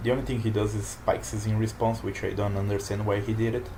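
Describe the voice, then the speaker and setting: With a non-native accent, a man speaks at a fairly low pitch with fairly even intonation. Audible room echo and noticeable background noise surround his voice. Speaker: card game player and commentator. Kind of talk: gameplay commentary. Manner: halting. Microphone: poor microphone.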